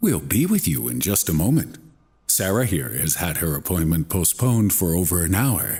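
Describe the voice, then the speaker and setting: In a put-on character voice, a man speaks at a moderate pace with a very deep, low pitch on a very clean recording with a silent background. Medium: read story. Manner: smooth, courteous.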